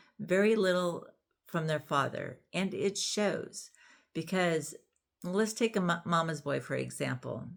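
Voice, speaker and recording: This woman has a plain, everyday voice, fairly low in pitch with ordinary pitch variation. The recording is very clean, with a silent background. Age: 60s. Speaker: YouTuber discussing parenting and relationships. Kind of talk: casual vlog monologue. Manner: conversational, with frequent fillers.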